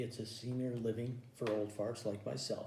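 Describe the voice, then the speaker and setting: Audible room echo surrounds a man whose voice is somewhat breathy, with a dark, mellow tone. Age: 60s. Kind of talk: stand-up. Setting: home recording.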